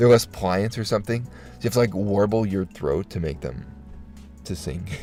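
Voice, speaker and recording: With music in the background, a man talks at a moderate pace and a fairly low pitch, his intonation lively. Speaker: streamer. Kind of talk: casual chat. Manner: halting, many fillers and restarts.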